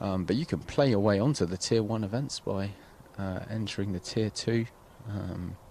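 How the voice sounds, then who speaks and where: Here a man with an English accent talks at a fairly low pitch and a moderate pace. His tone is dark and mellow, with ordinary pitch variation. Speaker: golf commentator and tour player. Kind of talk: live commentary. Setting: outdoors by the golf course. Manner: soft-spoken at times.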